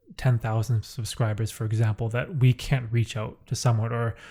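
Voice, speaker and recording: This is a man's voice. It sounds somewhat breathy. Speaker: podcast host. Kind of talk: casual chat. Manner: monotone; laid back.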